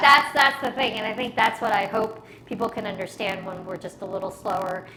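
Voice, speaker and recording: Delivered at a fairly quick pace with ordinary pitch variation, the speech shows big swings in loudness against noticeable background noise. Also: woman, fairly high pitch for a woman. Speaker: small business owner. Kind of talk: casual podcast conversation.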